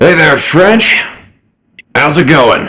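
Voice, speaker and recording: A man speaks in a put-on character voice. His pitch sits fairly high. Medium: actual play. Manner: casual, folksy, easygoing.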